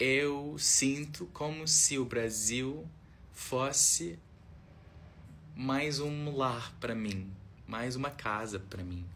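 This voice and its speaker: A man's bright, sharp voice with audible echo from the room. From Australia. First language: English (speaking Portuguese). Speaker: foreign visitor vlogger. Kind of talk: casual video monologue. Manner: halting, hesitant.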